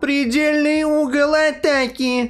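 Slow-ish and high-pitched, a put-on robotic character voice speaks at a fairly slow pace. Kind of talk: flat, mechanical warning.

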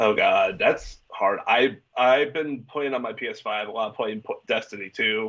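Quiet background, with a man speaking at a fairly slow pace. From Minnesota. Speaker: vocalist and music promoter; interview guest. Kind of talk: casual interview. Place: home room. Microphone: video call.

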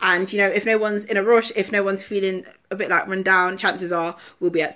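Against a quiet background, a woman with an East Midlands accent talks very fast at a medium pitch. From England, Leicester; England. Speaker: musical theatre performer; dance workshop host. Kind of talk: casual social media Q&A. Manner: animated. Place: home room. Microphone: phone near.

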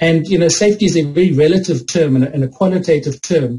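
Somewhat breathy and dark, mellow in tone, a man talks at a fairly quick pace with ordinary pitch variation. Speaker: conference presenter. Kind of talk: lecture. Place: home room. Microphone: video call.

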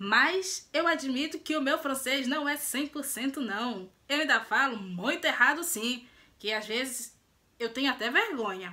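Raising and projecting her voice, a woman with a Brazilian accent speaks very slowly in a high pitch with lively intonation. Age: 20s. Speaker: lifestyle and beauty vlogger; beauty vlogger. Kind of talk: casual vlog introduction. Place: home room. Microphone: phone near.

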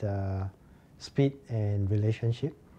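A man's voice comes across somewhat breathy. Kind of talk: interview answer. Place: office.

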